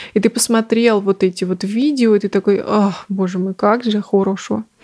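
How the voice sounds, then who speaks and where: At a moderate pace, a woman talks in a monotone, flat intonation. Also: dry, close sound with no echo. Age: 20s. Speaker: podcast host. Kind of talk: casual solo monologue. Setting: at home.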